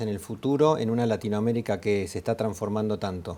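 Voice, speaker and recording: A man speaks at a fairly quick pace and a medium pitch. His tone is dark and mellow. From Argentina. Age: 50s. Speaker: business administrator in insurance. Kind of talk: conversational business discussion.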